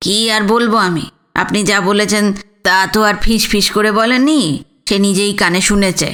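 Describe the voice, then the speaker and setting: In a put-on character voice, a woman speaks at a medium pitch and moderate pace, with fairly even intonation and very even loudness. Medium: read story.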